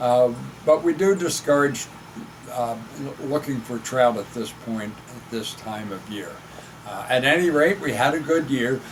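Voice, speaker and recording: A man with an American accent speaks fairly slowly at medium pitch, with long, frequent pauses and big swings in loudness, over noticeable background noise. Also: ordinary pitch variation. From Pennsylvania, Chester County. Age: 70s. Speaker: retired fishing club representative. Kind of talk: casual update talk. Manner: halting, many fillers.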